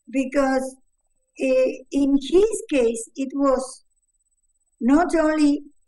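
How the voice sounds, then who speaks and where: A woman with a Spanish accent, high-pitched yet dark and mellow in tone, with ordinary pitch variation, a very slow pace, and long, frequent pauses. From Uruguay. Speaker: mother of the subject. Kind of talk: interview. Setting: video call. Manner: halting.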